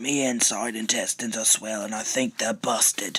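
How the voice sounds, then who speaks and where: A man speaks at a moderate pace in a put-on character voice. It is raspy and medium in pitch. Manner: irritable, bossy.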